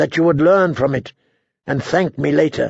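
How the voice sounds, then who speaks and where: A quiet, raspy, strained put-on character voice from a man of fairly high pitch, at a moderate pace with ordinary pitch variation. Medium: read story. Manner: quiet, strained.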